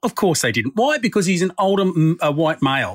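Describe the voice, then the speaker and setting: A man talks with an Australian accent at a fairly quick pace. The sound is dry and close with no echo. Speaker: podcast host. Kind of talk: casual chat and interview.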